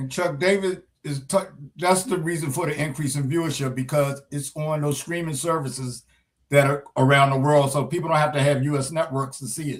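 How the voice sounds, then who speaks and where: The speaker is a man with a fairly high pitch. His voice sounds somewhat breathy. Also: fairly even intonation, fairly quick pace. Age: 70s. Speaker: sports talk show co-host. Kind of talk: casual chat.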